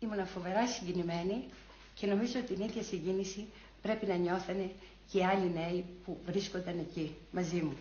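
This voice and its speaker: Over light background noise and audible room echo, a woman talks at a moderate pace with a medium pitch and fairly even intonation. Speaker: former student demonstrator giving testimony. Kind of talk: archival recollection, testimony. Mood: moved, reminiscing. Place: home room.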